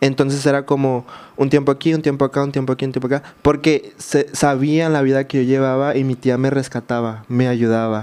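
Speaking at a fairly quick pace, a man uses a fairly high pitch with monotone, flat intonation. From Mexico, Baja California Sur (San José del Cabo); Baja California Sur, Mexico. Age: 20s. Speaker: social media creator. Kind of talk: interview testimony. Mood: reflective, recounting hard childhood. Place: studio. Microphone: studio mic.

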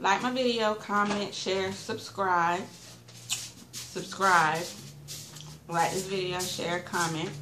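A woman at a very slow pace with ordinary pitch variation, over noticeable background noise. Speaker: food vlogger. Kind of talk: casual vlog chat. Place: home room. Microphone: webcam.

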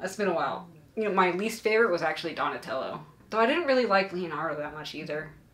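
Very fast and lively in intonation, a woman rattles through her words. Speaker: vlogger host. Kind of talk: casual vlog chat. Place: home room. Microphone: camera far.

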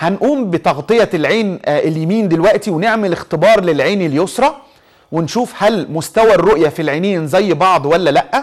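The background is quiet as a man speaks. His pitch is high and his pace moderate. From Egypt. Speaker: eye surgeon hosting a TV health show. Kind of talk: TV health talk show with phone-in callers. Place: studio. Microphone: lapel.

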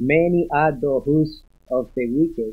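Ordinary pitch variation carries the speech over a quiet background. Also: man. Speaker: congregation member. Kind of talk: reading aloud. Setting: church. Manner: halting. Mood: reverent, earnest. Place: church.

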